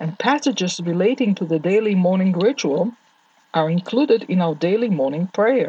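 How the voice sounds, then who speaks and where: Speaking in an Israeli accent, a woman uses lively intonation at a medium pitch and a moderate pace. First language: Hebrew. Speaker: Torah teacher. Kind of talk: lecture. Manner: formal.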